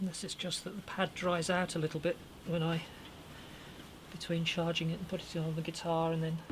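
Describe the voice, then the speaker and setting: A woman's fairly low voice in a flat monotone. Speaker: hobby luthier restoring a guitar. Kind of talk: tutorial. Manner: mumbling.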